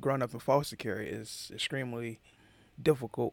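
A man with an American accent talks at a moderate pace, his pitch in the medium range. There is vocal fry in his voice. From Atlanta, Georgia, US South. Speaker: podcaster telling his life story. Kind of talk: personal storytelling monologue. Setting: home recording into a mic. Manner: hesitant, many fillers.

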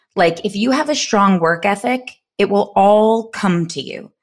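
On a very clean recording with a silent background, a woman speaks in an ordinary speaking voice at medium pitch with lively intonation. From New York. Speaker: podcast co-host, entrepreneur. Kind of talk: casual chat. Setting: studio, sharing one mic.

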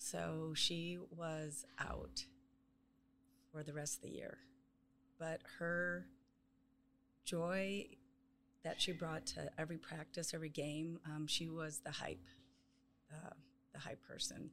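Speaking very slowly, a woman leaves long, frequent pauses. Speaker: softball head coach. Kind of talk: casual interview chat.

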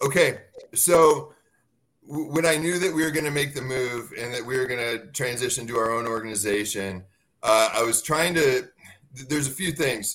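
A man with an American accent speaks at a moderate pace in a medium pitch. He has a normal speaking voice with ordinary pitch variation. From US Midwest, Dixon, Illinois. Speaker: navy veteran and networking organization founder. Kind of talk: casual interview.

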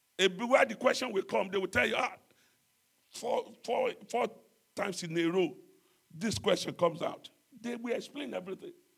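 The speaker is a man. His pitch is high. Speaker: pastor. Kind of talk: sermon. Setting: church.

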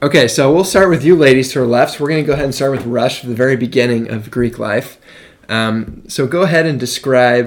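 This is an unremarkable speaking voice at a fairly quick pace. Its pitch varies in an ordinary way. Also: man. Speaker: podcast host, college student. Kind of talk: casual chat. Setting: home studio.

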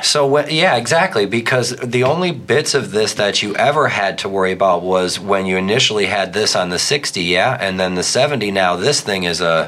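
Speaking with an American accent, a man has a fairly low pitch and lively intonation at a moderate pace. There is noticeable background noise. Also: hardly any pauses. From US small town. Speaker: podcast host. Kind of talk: casual chat; scripted intro. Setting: studio.

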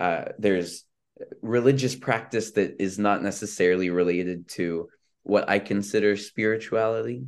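Speaking at a moderate pace, a man with a fairly low pitch and an unremarkable speaking voice is heard against a quiet background. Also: ordinary pitch variation. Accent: Canadian. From Canada, Vancouver, British Columbia. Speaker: rabbi. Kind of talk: casual chat.

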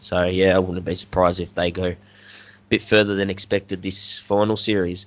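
Speaking at a fairly quick pace with an Australian accent, a man uses a very deep, low voice and monotone, flat intonation. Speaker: podcast host. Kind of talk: casual chat.

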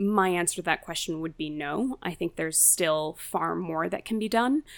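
A woman speaks in a New Jersey accent at a moderate pace, with lively intonation and a medium pitch. She hardly pauses, and the recording is very clean with a silent background. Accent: American (New Jersey). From US, New Jersey. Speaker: counter-extremism tech founder. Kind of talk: interview conversation.

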